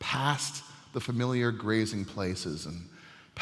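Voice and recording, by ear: Reading aloud in a natural voice with ordinary pitch variation.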